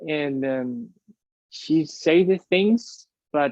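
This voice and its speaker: A man speaks with a Spanish accent at a fairly high pitch. His pitch variation is ordinary. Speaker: airline pilot, UFO researcher. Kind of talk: interview conversation. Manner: hesitant, many fillers and repeats.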